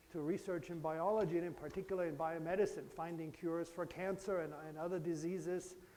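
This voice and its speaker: A high-pitched man's voice with audible room echo. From Germany, Bavaria. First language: German. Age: 50s. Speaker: professor. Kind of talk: lecture. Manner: conversational, engaging with children.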